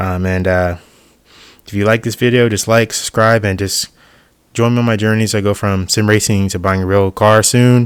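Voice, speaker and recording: In a very clean recording with a silent background, a soft-spoken man talks at a moderate pace in a fairly low pitch with monotone, flat intonation. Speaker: YouTuber, sim racing hobbyist. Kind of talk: voiceover tutorial. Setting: voiceover over B-roll. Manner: casual, hesitant with fillers.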